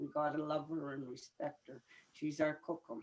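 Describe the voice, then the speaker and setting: A woman speaks at a very deep, low pitch with a dark, mellow tone. She keeps a moderate pace. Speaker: elder. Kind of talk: teaching talk.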